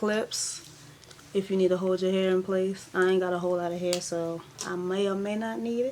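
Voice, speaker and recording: Against noticeable background noise, a woman talks at a moderate pace in a medium pitch with fairly even intonation. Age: 20s. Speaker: beauty vlogger. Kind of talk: tutorial. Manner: casual.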